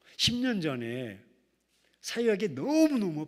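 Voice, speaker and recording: A man talks with a high pitch. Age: 60s. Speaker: pastor. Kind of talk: sermon. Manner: animated.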